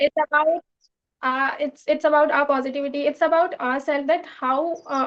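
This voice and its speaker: A woman speaks at a moderate pace in a high pitch, her intonation flat and monotone. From India, Madhya Pradesh. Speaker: English learner, channel owner. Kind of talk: English speaking practice conversation. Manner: halting, many fillers.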